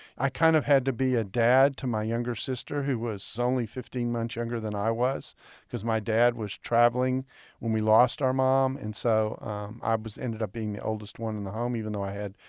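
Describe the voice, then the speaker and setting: A man with an ordinary speaking voice and a medium pitch uses fairly even intonation on a very clean recording with a silent background. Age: 60s. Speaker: biblical scholar. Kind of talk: interview.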